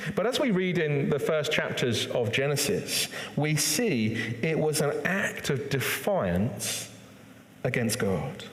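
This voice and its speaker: A man's fairly high voice at a very slow pace, with very wide pitch swings, very even loudness and noticeable background noise. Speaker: church preacher. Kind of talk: sermon delivered to a congregation.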